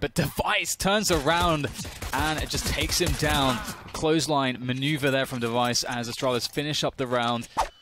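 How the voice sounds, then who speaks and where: With ordinary pitch variation, a man keeps a fairly quick pace while noticeable background noise carries on behind him. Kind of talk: esports live commentary. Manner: animated, upbeat, laughing.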